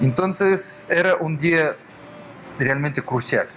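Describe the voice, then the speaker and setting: With music in the background, someone speaks very slowly in a Russian accent. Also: man. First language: Russian (speaking Spanish). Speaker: violinist and orchestra director. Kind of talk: interview. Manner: halting.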